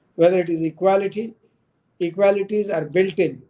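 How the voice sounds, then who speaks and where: With a Marathi accent, a man speaks in a dark, mellow tone with fairly even intonation. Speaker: human rights commission member. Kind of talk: panel talk. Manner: halting.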